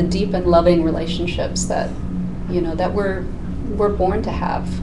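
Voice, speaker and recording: A woman is speaking. There is noticeable background noise behind her. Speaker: life coach guest. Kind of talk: interview answer. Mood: warm, earnest. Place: studio.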